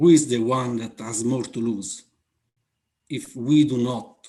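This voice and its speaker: Speaking at a fairly slow pace, a man with an Italian accent uses a medium pitch and a dark, mellow tone. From Italy. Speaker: aviation safety manager. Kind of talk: conference Q&A answer. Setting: online conference. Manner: halting, many fillers.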